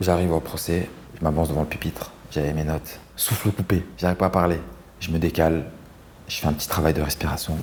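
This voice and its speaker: A man with a very deep, low voice talks very fast in a flat monotone. He takes long, frequent pauses. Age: 30s. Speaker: lawyer. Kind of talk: interview testimony. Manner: casual, slangy.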